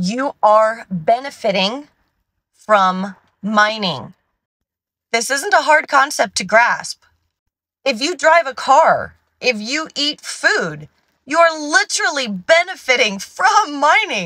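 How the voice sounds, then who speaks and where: In a raised, projected voice, a woman speaks very slowly with long, frequent pauses and a bright, sharp tone, the sound dry with no echo against a quiet background. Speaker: science content creator. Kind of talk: casual vlog chat. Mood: exasperated, passionate. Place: car. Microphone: phone near.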